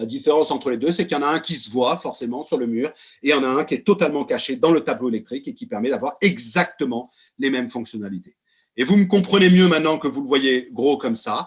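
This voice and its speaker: Talking very fast, a man uses a fairly high voice with lively intonation. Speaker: company executive presenting products. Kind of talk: webinar presentation. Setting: video call. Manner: loud; animated.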